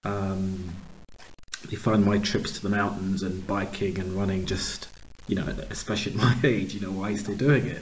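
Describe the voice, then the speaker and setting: Noticeable background noise sits behind a man with an American accent. His pitch is fairly low and his intonation fairly even. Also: moderate pace. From US, Pittsburgh, Pennsylvania. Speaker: podcast host, organizational consultant. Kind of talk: interview conversation.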